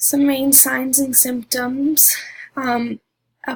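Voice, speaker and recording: A woman's high voice with monotone, flat intonation. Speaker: student presenter. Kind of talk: class presentation. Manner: halting, many fillers.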